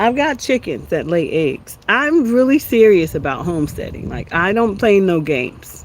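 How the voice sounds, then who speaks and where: Against noticeable background noise, a woman with an American accent and medium pitch talks at a moderate pace with very wide pitch swings and hardly any pauses. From USA. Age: 60s. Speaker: homesteading and wellbeing livestreamer. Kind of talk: casual livestream chat. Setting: outdoors in backyard.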